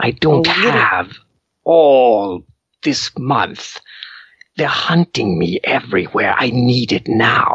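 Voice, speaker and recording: Hissing is heard as a man puts on a character voice with a medium pitch. He goes at a very slow pace with long, frequent pauses. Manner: desperate, pleading.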